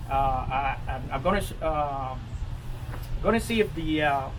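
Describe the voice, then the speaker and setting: A man speaks fairly slowly while audible room echo and noticeable background noise fill the recording. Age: 60s. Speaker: master gardener leading a composting workshop. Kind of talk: informal workshop Q&A. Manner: halting, many fillers and repetitions.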